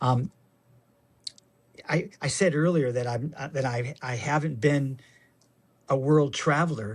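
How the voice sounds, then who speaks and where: A somewhat breathy man with a fairly high pitch, an American accent and ordinary pitch variation, on a very clean recording with a silent background. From Michigan. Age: 60s. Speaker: actor and avid cyclist. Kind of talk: casual interview chat. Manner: halting, repeats words.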